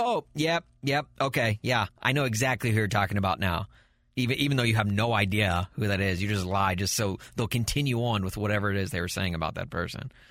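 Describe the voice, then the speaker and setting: A man with an ordinary speaking voice talks at a fairly quick pace in an American accent, with lively intonation, on a very clean recording with a silent background. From US South. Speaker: podcast host. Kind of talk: casual chat.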